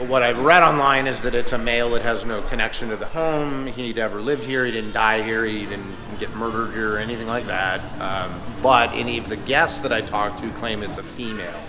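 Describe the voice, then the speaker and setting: A man speaks fairly quickly, his pitch varying in an ordinary way, while noticeable background noise sits beneath him. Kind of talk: interview answer. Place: cafe.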